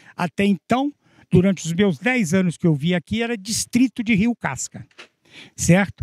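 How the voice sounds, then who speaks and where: This man's voice sits high, with lively intonation at a moderate pace. The sound is dry and close, with no echo. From Minas Gerais, Brazil. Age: 80s+. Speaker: local historian and author. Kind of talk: interview.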